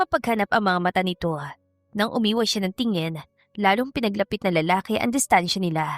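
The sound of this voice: Over a quiet background, the pitch varies in an ordinary way in an unforced reading voice.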